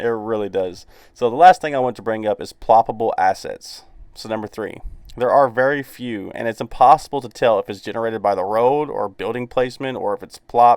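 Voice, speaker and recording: With a Southern US accent, a man talks at a medium pitch in a dry, close sound with no echo. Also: big swings in loudness, very clean recording, silent background. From US South. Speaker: gaming YouTuber. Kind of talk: casual video commentary. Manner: casual, filler-heavy.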